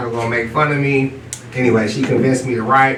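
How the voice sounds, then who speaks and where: With an American accent, a man speaks at medium pitch and a fairly quick pace. Audible room echo and noticeable background noise surround him. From US West Coast, East Oakland, California. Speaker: children's book author. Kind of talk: panel discussion.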